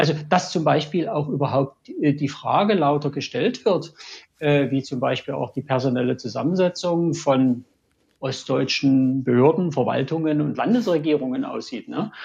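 A man talks at a moderate pace in a fairly high, somewhat breathy voice. His pitch variation is ordinary. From Dresden, Saxony. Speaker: engineer, listener. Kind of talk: casual discussion.

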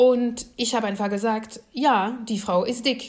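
Audible room echo surrounds this voice. A woman speaks at a fairly slow pace. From France. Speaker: political scientist. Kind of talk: lecture.

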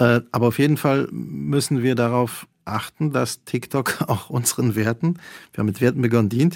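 A man with a Polish accent talks at a moderate pace and medium pitch, his intonation lively and his loudness very even. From Poland. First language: Polish (speaking German). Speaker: cultural manager and journalist. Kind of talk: radio interview. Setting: remote line from a university radio studio.

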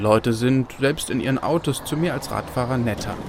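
A man talks at a moderate pace, with noticeable background noise present. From Berlin. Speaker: radio reporter. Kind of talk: narrated radio feature.

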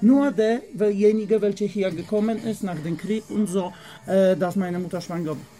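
A man with a Polish accent speaks at a moderate pace in a high voice with a dark, mellow tone and big swings in loudness. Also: ordinary pitch variation. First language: Polish (speaking German). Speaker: tobacco shop worker. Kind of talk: casual chat. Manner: halting.

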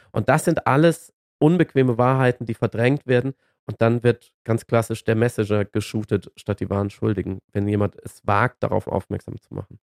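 There is no echo, just a dry, close sound carrying an unremarkable speaking voice. Its pitch varies in an ordinary way, and the pace is moderate. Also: man, medium pitch for a man. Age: 40s. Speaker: climate debate commentator. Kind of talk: casual chat.

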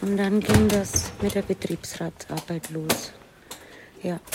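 A woman speaks at a very slow pace with noticeable background noise behind her. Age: 60s. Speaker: hospital cleaner. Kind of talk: interview and work narration.

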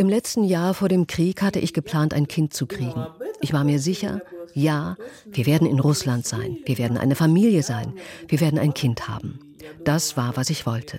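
Noticeable background noise sits behind a woman with a very deep, low pitch and lively intonation, speaking at a moderate pace. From southern Russia. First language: Russian (speaking German). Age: 30s. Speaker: sales manager. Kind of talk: interview testimony (German voice-over). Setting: video call.

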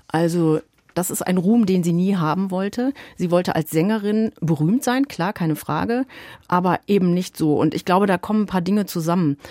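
A woman speaks at a medium pitch with ordinary pitch variation and a dark, mellow tone. The sound is dry and close with no echo. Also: moderate pace. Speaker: music radio journalist. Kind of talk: radio conversation.

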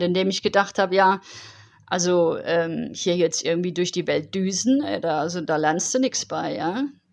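In a plain, everyday voice, a woman speaks at a medium pitch and a moderate pace with lively intonation. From Germany, Heidelberg. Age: 40s. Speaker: long-distance cycling traveller. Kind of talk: interview.

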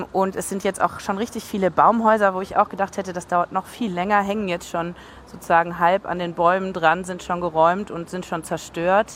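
Noticeable background noise accompanies a woman who talks at a moderate pace and medium pitch in a monotone, flat delivery. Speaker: on-site reporter. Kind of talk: live reporting.

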